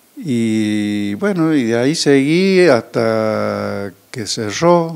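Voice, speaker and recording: A man is speaking. His intonation is lively. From Córdoba, Argentina. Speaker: winemaker. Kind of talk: interview. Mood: calm reminiscing. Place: office. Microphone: handheld.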